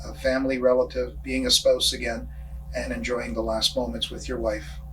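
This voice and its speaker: Noticeable background noise sits behind the voice. The talking goes at a moderate pace. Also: man. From Canada, Toronto. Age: 60s. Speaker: local senior sharing life story. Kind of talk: personal testimony. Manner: halting, many fillers.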